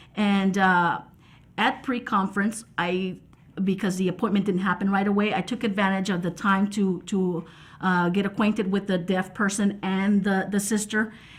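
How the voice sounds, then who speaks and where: Speaking at a moderate pace, a woman uses a somewhat breathy voice at medium pitch with monotone, flat intonation. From Texas, Mexican-American. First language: American Sign Language. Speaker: sign language interpreter. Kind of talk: reflective interview talk. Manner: halting, many fillers and repetitions.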